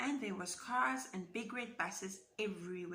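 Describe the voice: Plain reading aloud, with pitch that moves in an ordinary manner.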